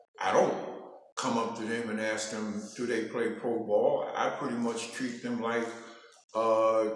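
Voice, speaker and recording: Amid audible room echo, a man with an American accent speaks at a medium pitch in a monotone, flat intonation. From New York City. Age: 70s. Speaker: interviewee. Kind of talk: casual interview. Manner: halting.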